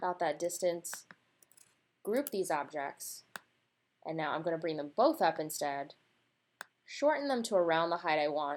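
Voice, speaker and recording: In a very clean recording with a silent background, a woman speaks at a moderate pace. Her pitch is fairly low. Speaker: designer teaching laser-cut design. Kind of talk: screen-recorded tutorial. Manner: casual, conversational.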